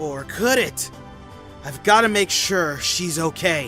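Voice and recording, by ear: Faint music plays behind a man's put-on character voice, which is slow, fairly high in pitch, bright and sharp in tone, with lively intonation.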